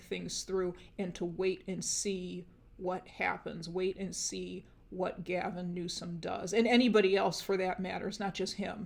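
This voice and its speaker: A woman talks at a moderate pace in a monotone with flat intonation. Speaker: tarot reader. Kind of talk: tarot reading monologue. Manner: hesitant, many fillers.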